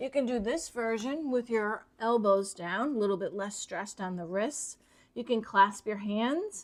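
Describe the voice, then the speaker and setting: In a plain, everyday voice, a woman speaks at a moderate pace with a fairly high pitch, ordinary pitch variation and hardly any pauses, on a very clean recording with a silent background. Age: 60s. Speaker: yoga instructor. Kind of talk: tutorial. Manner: calm, instructive.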